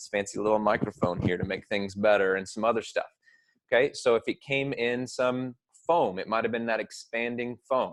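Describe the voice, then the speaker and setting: A man talks at a fairly quick pace, and the sound is dry and close with no echo. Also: quiet background. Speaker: teacher. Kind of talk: lecture. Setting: recorded at a computer with webcam. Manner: fast. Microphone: new small microphone.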